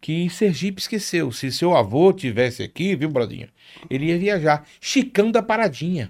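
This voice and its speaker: At a moderate pace, a man uses a fairly high pitch with very wide pitch swings in a very clean recording with a silent background. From Rio de Janeiro, Brazil (Penha). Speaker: carnival reveler and media personality. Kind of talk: casual chat. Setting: studio.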